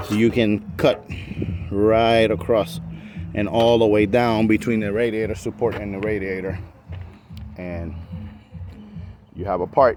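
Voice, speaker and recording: With music in the background, a man with a slight non-native accent speaks at a very slow pace in a fairly low voice with ordinary pitch variation. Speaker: car restoration hobbyist. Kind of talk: tutorial. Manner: casual, hesitant with fillers.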